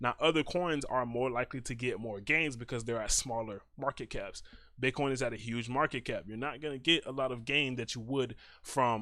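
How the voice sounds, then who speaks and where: Medium-pitched male voice with a bright, sharp tone, moderate pace and ordinary pitch variation, in a very clean recording with a silent background. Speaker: trading educator. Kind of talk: tutorial. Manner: soft-spoken; hesitant with fillers.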